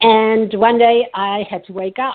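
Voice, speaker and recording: With a French accent, a woman speaks with ordinary pitch variation. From France. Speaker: psychotherapist and coach. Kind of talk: podcast interview.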